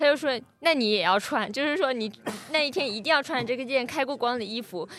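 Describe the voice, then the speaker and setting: A woman talks at a fairly quick pace with a slight Fujian accent, her high voice making very wide pitch swings. Noticeable background noise runs underneath. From Fujian, rural village. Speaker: podcast panelist. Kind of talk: casual chat.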